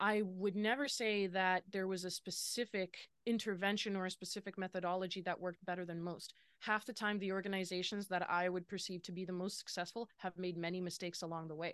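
In a Western Canadian accent, a woman speaks at a fairly quick pace and medium pitch, with monotone, flat intonation and hardly any pauses. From Lower Mainland, British Columbia, Canada. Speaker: business consultant. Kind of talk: interview.

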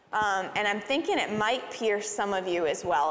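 Noticeable background noise fills the clip. Through it, a woman talks at a fairly high pitch. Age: 30s. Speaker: church leader. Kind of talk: church service talk. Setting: church stage.

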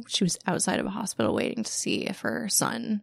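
A woman's medium-pitched voice with vocal fry. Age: 30s. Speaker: feminist organizer and business owner. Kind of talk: interview.

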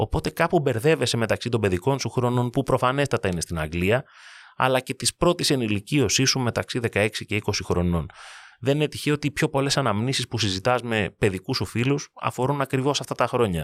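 This man has an ordinary speaking voice at a medium pitch, using lively intonation at a moderate pace, with a dry, close sound, no echo, and a very clean recording with a silent background. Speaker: sports podcast host. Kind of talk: narrated monologue.

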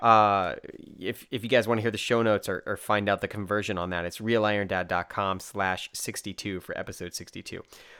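With an American accent and a bright, sharp tone, a man speaks at a fairly low pitch and a fairly quick pace in a very clean recording with a silent background. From United States. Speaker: podcast host. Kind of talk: interview. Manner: animated.

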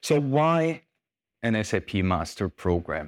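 A man with a German accent speaks with lively intonation on a very clean recording with a silent background. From Germany. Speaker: sales executive. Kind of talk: conference talk. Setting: stage with audience. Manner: hesitant.

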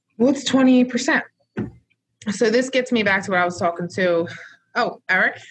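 Somewhat breathy, a woman with a fairly high pitch speaks at a fairly slow pace with long, frequent pauses. Her loudness stays very even, and her pitch variation is ordinary. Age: 30s. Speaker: respiratory care educator, co-host. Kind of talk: casual instructional chat.

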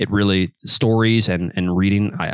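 A man with an American accent and a very deep, low pitch speaks with ordinary pitch variation in a dry, close sound with no echo. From US Midwest, Kansas City. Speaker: professional footballer and polyglot. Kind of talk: interview.

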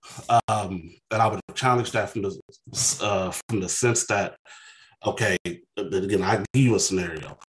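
Somewhat breathy and fairly low-pitched, a man speaks at a moderate pace with fairly even intonation and long, frequent pauses, in a dry, close sound with no echo. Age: 30s. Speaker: call-in guest. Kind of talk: call-in debate. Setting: video call.

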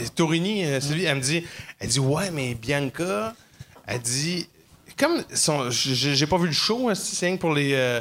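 Lively intonation marks the delivery, which crawls along at a very slow pace. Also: man, fairly high pitch for a man. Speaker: comedian. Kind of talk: casual chat. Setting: comedy club stage with audience.

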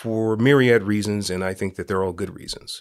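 A man with a Californian accent speaks at a fairly low pitch, with ordinary pitch variation. The recording is very clean, with a silent background. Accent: Californian American English. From San Francisco, Northern California. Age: 50s. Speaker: nonprofit founder. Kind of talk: interview.

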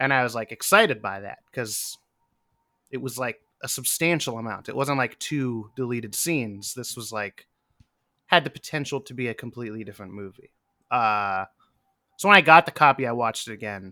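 A man with an American accent speaks at a fairly quick pace in a bright, sharp tone at medium pitch, his loudness swinging widely and his pauses long and frequent. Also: ordinary pitch variation, very clean recording, silent background. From US, western Pennsylvania. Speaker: musician. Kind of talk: casual chat.

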